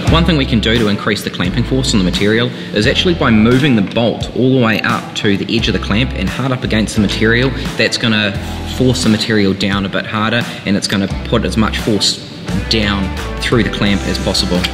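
Clear music plays in the background. A man speaks over it at a fairly quick pace in a fairly low voice. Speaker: presenter. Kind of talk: tutorial. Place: workshop.

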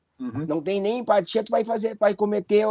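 A man's dark, mellow tone, dry with no echo, over a quiet background. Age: 40s. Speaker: anti-racism activist, director of a monitoring organization; interview guest. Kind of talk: interview. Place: home room. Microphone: video call.

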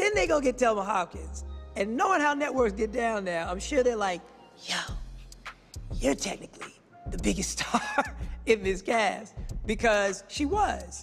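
A man's speech with long, frequent pauses over faint music in the background. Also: moderate pace. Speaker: actor interviewee. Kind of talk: interview answer. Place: studio.

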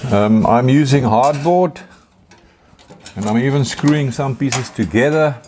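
Ordinary pitch variation and a fairly slow pace come through amid noticeable background noise. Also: man. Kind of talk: tutorial. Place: workshop.

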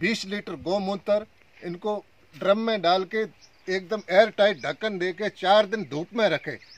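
A man's high-pitched voice at a fairly slow pace, with ordinary pitch variation and a dry sound with no echo. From Rajasthan, Jaisalmer district; Rajasthan. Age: 50s. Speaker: pomegranate farmer. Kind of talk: on-site farm interview. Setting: outdoors in his orchard. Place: farm. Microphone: phone near.

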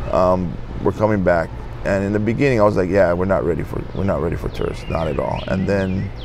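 Music plays behind a man with a very deep, low voice. He talks at a very fast pace with ordinary pitch variation. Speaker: interviewee. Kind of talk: interview answer. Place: street. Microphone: lapel.

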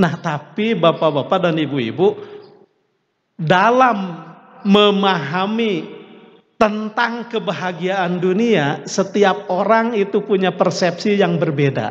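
Against a quiet background, a man with a high pitch speaks at a very slow pace with ordinary pitch variation. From West Java. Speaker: Islamic preacher. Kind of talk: sermon. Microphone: podium.

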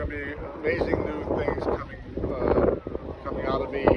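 Loud background noise surrounds a man's voice. The recording is dry, without echo. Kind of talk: casual holiday greeting vlog. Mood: warm, grateful. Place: beach.

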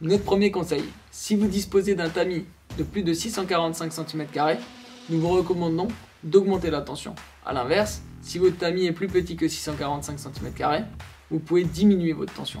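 A man's high voice with fairly even intonation, long, frequent pauses and light background noise. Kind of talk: tutorial. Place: studio.

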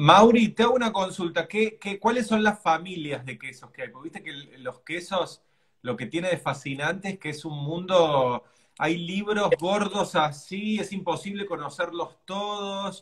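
A man talks at a fairly slow pace in a high voice. His loudness swings widely. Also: ordinary pitch variation, quiet background. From Argentina. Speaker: cooking show host. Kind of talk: casual chat. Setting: live stream video. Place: home room.

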